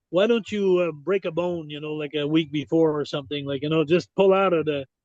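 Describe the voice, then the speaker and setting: In a Quebec accent, a man speaks fairly quickly at a fairly high pitch with ordinary pitch variation. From Quebec, Montreal. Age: 60s. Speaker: retired pro wrestler. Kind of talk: podcast interview, storytelling.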